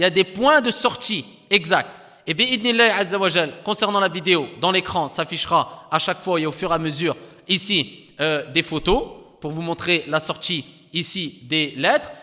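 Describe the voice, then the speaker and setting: The man's voice sits at a high pitch with ordinary pitch variation. His tone is bright and sharp. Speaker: Quran recitation teacher. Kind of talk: lecture. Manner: slow.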